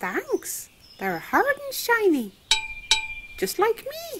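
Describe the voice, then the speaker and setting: This cartoonish character voice is squeaky and extremely high, moving at a very slow pace. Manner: appreciative.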